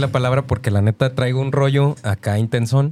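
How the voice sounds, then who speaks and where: Through noticeable background noise comes a man with a medium pitch and ordinary pitch variation. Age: 30s. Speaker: radio co-host. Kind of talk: casual chat.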